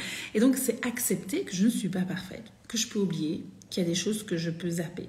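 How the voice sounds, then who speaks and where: Her tone is animated as this woman speaks at a fairly quick pace. Her pitch is medium, with ordinary variation. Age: 40s. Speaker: women's spiritual coach. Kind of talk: live stream talk. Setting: live video stream.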